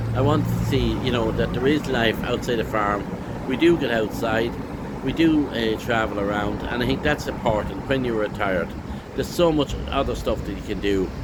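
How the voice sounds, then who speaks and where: A man with an Irish accent is heard over noticeable background noise, with audible room echo. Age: 60s. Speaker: retired dairy farmer and vlogger. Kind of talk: casual vlog monologue. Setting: pub in city street. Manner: halting.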